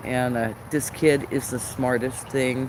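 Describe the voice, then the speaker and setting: A man with an American accent speaks at a very slow pace. Background noise is noticeable. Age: 60s. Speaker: live streamer. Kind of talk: casual chat. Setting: live stream. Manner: halting.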